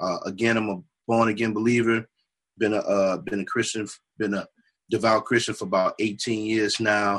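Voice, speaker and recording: At a moderate pace, a man speaks. He has an unremarkable speaking voice. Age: 30s. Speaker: music producer. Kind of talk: casual chat.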